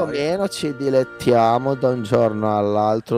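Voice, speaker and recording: Over clear background music, a man puts on a drawling character voice at a moderate pace. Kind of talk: comic overacting. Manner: slow, long-winded, drawling.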